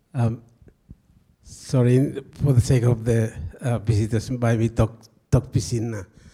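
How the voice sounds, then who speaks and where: A man speaks at a medium pitch with a somewhat breathy voice. His intonation stays fairly even, broken by long, frequent pauses. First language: local Highlands language. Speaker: village mask maker speaking through interpreter.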